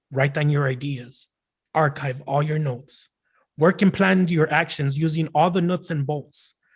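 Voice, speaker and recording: At a fairly slow pace, a man with an American accent speaks somewhat breathily at a fairly high pitch with fairly even intonation. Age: young. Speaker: poet and rapper. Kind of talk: poetry performance. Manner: halting.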